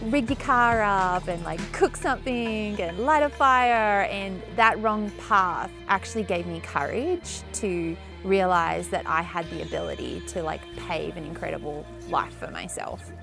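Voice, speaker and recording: Music plays in the background as a woman with an Australian accent speaks at a fairly slow pace. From Tasmania, Australia. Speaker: chef. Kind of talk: interview answer.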